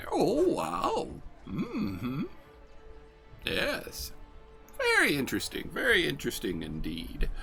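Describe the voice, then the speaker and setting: A man puts on a character voice and moves at a fairly slow pace, with clear music in the background. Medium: actual play. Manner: slow, wondering.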